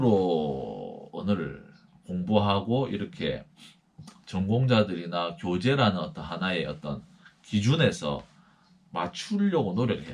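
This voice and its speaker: Vocal fry colors this man's voice. His pitch sits very deep and low. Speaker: missionary. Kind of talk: lecture.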